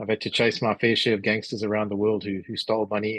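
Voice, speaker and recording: Speaking very fast, a man has a South African accent and fairly low pitch. The sound is dry and close with no echo. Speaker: business executive and author. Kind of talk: interview. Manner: halting, many fillers.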